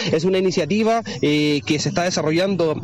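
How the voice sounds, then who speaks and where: Through noticeable background noise comes a man's high-pitched voice. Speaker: field reporter. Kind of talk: live field report. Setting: outdoors at a market.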